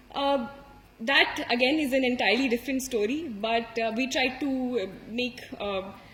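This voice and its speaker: With an Indian accent, a woman speaks at a high pitch with fairly even intonation over noticeable background noise. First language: Hindi. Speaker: civil services exam topper. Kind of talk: motivational talk. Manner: hesitant with many fillers.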